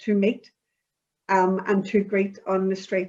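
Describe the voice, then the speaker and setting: A woman speaks with a Belfast accent. Her pace is fairly slow. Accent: Belfast Northern Irish. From Northern Ireland (Belfast). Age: 60s. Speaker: community project participant. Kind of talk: interview.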